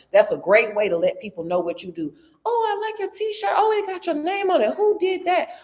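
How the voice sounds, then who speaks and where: With a Southern US accent, a woman speaks at a fairly quick pace in an animated tone. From US South, rural Georgia. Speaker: business coach and speaker. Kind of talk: workshop presentation. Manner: loud.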